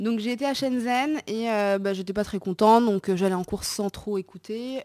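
In a very clean recording with a silent background, a woman speaks in a dark, mellow tone at a moderate pace. Her pitch varies in an ordinary way, and the sound is dry and close with no echo. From Morocco. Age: 20s. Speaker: entrepreneur. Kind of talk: casual chat.

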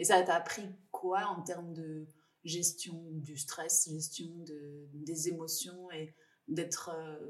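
A woman speaks at a very slow pace in a fairly low pitch. Her intonation is monotone and flat, while her loudness swings widely. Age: 40s. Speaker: podcast host. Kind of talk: interview. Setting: office.

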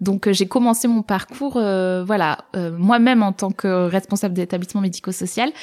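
A woman's normal speaking voice at medium pitch and moderate pace, with ordinary pitch variation and hardly any pauses. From southern France, Var. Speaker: social entrepreneur. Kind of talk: casual interview.

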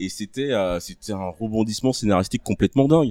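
A man's unremarkable speaking voice, fairly low-pitched with lively intonation, on a very clean recording with a silent background. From Ivory Coast. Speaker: podcast guest. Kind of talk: casual chat. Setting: live recording with audience.

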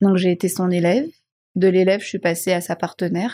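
In a very clean recording with a silent background and a dry, close sound with no echo, a woman speaks fairly quickly at a medium pitch, her tone dark and mellow and somewhat breathy. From Madagascar. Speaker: marketing and communication director. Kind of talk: interview conversation.

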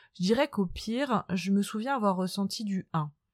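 Recorded very cleanly with a silent background and a dry, close sound with no echo, a woman of medium pitch talks at a moderate pace with ordinary pitch variation. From France, Nantes. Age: 30s. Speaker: podcast host. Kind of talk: personal monologue.

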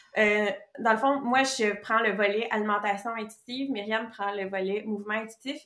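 Speaking at a moderate pace, a woman has a plain, everyday voice, fairly high in pitch with fairly even intonation. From Quebec. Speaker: nutritionist. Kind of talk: casual interview chat.

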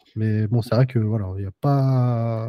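The man's voice has a dark, mellow tone. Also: dry, close sound with no echo. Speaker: podcast host. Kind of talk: casual chat. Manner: hesitant, many fillers.

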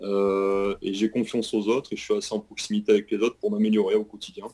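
A plain, everyday voice from a man, pitched in the medium range, its intonation fairly even. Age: 30s. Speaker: retail store manager. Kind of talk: interview.

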